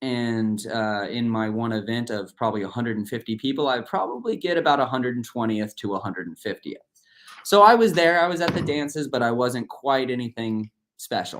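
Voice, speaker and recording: Here a man of medium pitch has an ordinary speaking voice. He talks at a fairly quick pace with ordinary pitch variation. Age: 30s. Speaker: swim coach and motivational speaker. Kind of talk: motivational talk. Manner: casual, with many fillers.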